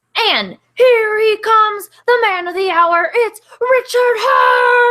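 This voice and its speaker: This woman uses a put-on character voice at an extremely high pitch. She moves at a fairly slow pace. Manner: announcer-like, showy.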